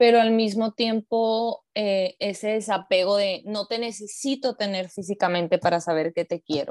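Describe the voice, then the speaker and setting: Hardly pausing, a woman with an ordinary speaking voice talks fairly slowly at a medium pitch with ordinary pitch variation over a quiet background. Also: dry, close sound with no echo. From Mexico, Hermosillo (Sonora). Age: 30s. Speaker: psychologist. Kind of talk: interview.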